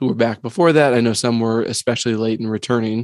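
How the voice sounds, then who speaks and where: A man talks in an ordinary speaking voice at a medium pitch. His intonation stays fairly even. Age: 50s. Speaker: educator, podcast co-host. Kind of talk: casual chat.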